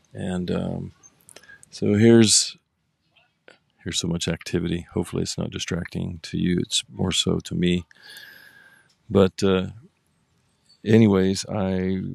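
A man's very deep, low voice, monotone and flat, at a fairly slow pace with long, frequent pauses, in a dry, close sound with no echo. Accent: American. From Oklahoma. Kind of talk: casual solo monologue, introduction. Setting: outdoors, pulled over by the roadside in a car. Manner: informal, somewhat halting with fillers.

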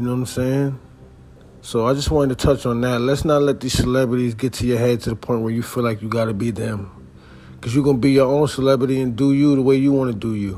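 Fairly even intonation carries a man's very fast pace over noticeable background noise. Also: medium pitch for a man. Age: 30s. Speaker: podcast host and musician. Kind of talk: casual monologue. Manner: relaxed conversational.

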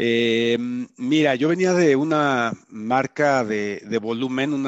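Against a quiet background, a man talks at a fairly slow pace. His pitch varies in an ordinary way. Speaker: automotive executive. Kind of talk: interview. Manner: animated.

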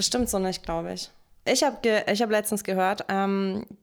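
At a moderate pace, a woman with an ordinary speaking voice talks at a medium pitch in a very clean recording with a silent background. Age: 30s. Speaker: podcast co-host. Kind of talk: casual chat.

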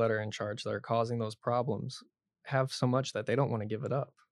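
Talking at a very fast pace, a man keeps a medium pitch and a monotone, flat intonation. The sound is dry and close with no echo. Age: 20s. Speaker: student podcast host. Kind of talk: casual interview.

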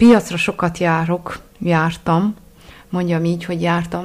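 A woman speaks slowly-ish, at a fairly slow pace. Her fairly low voice stays monotone, with flat intonation. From Transylvania, Csíkszereda. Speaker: food blogger. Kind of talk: interview. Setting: home kitchen.

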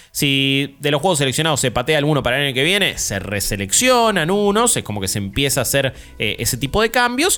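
Moving at a fairly quick pace, a man's voice shows very wide pitch swings. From Argentina. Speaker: podcast host. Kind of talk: casual chat.

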